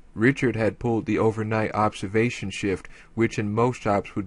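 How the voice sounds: Reading in a natural voice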